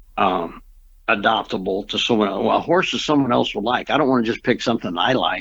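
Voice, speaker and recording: The recording is very clean, with a silent background. The speech comes at a very fast pace, with very even loudness and ordinary pitch variation. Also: man, medium pitch for a man. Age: 70s. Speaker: mustang trainer. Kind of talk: interview. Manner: halting.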